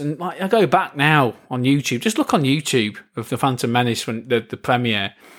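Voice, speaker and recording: A man's ordinary speaking voice at a medium pitch, fairly quick in pace with ordinary pitch variation, in a very clean recording with a silent background. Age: 30s. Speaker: podcast host. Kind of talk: casual chat.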